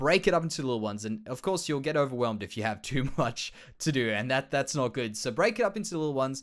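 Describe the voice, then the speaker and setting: An Australian-accented man talks at a very fast pace with hardly any pauses. His medium pitch carries lively intonation. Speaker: Minecraft let's play creator. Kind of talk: casual gameplay commentary.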